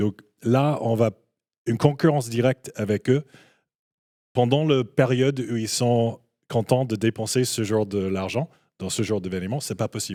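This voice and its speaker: The recording is very clean with a silent background. A man with a dark, mellow tone speaks at a moderate pace, with ordinary pitch variation and long, frequent pauses. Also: medium pitch for a man. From Canada. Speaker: esports business guest. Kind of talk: panel discussion. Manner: halting, many hesitations.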